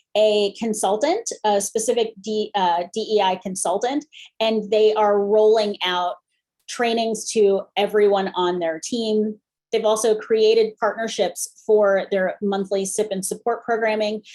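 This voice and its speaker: A woman's ordinary speaking voice, fairly high in pitch, at a fairly slow pace. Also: fairly even intonation. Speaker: improv comedian and corporate facilitator presenting a webinar. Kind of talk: webinar presentation.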